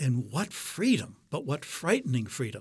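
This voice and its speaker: This man's voice is somewhat breathy, with a medium pitch and a moderate pace. The recording is very clean, with a silent background. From US Midwest, Detroit. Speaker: astronomer and religious brother. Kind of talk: interview conversation. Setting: studio.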